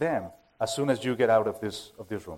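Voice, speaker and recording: Using lively intonation, a man with a Spanish accent speaks at a moderate pace. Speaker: preaching minister. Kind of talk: sermon. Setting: church. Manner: halting.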